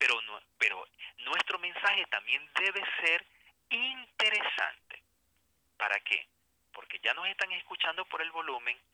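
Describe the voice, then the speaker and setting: Long, frequent pauses break up the man's speech. His overall pace is fairly slow. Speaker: writer, journalist and writing instructor. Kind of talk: interview, educational explanation. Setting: remote line.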